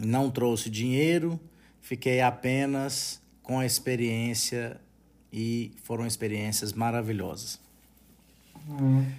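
The delivery is very slow, with long, frequent pauses. Intonation stays fairly even. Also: man, medium pitch for a man. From Brazil, Minas Gerais interior (Unaí). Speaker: podcast host and retail franchise owner. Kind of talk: podcast self-introduction monologue.

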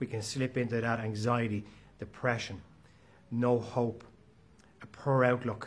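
Somewhat breathy and at medium pitch, a man speaks at a fairly slow pace with monotone, flat intonation. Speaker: motivational podcast host. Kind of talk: motivational monologue.

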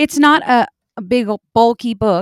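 A normal speaking voice with ordinary pitch variation. The recording is very clean, with a silent background and a dry, close sound with no echo. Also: woman. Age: 30s. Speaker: podcast co-host and young minister's wife. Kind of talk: author interview.

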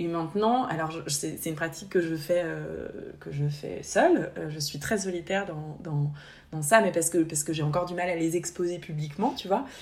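A woman at fairly low pitch, moderate pace, and ordinary pitch variation, with audible room echo. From France, Haute-Savoie. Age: 30s. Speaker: podcast co-host, therapist. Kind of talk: casual chat. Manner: halting, repeats words.

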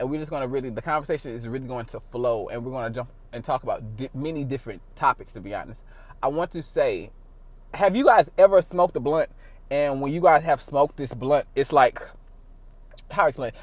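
A man speaks in an ordinary speaking voice. His loudness swings widely while his pitch varies an ordinary amount. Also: fairly high pitch for a man, fairly quick pace. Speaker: podcast host. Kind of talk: casual chat. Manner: casual, profane, joking.

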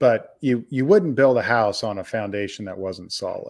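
This man has an unremarkable speaking voice with a medium pitch and an American accent. He talks at a fairly quick pace in a very clean recording with a silent background. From Kansas. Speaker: podcast host. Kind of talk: interview.

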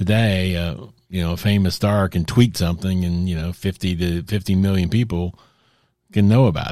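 At a moderate pace, the voice carries a dark, mellow tone and fairly even intonation on a very clean recording with a silent background. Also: man, very deep, low pitch for a man. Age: 60s. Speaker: podcast host on Christianity. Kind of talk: solo monologue commentary. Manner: halting, many fillers and restarts.

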